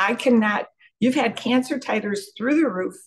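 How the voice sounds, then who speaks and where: A somewhat breathy woman's voice at a moderate pace, with ordinary pitch variation and a quiet background. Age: 70s. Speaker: pharmacist. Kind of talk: testimony. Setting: video call. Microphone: video call.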